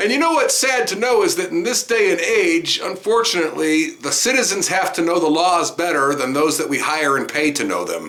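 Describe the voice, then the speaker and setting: Noticeable background noise sits behind a high-pitched man with lively intonation. He talks at a fairly quick pace with hardly any pauses. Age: 60s. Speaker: citizen journalist, police auditor. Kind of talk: voiceover commentary.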